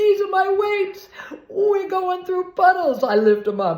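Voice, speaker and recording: Noticeable background noise is present. Over it, a woman speaks in an animated tone. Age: 70s. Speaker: video blogger. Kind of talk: casual storytelling vlog.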